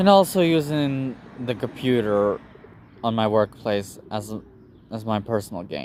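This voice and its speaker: A man with a non-native accent talks at a medium pitch with lively intonation. He leaves long, frequent pauses. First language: not English. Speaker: YouTuber. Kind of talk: personal vlog monologue. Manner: halting.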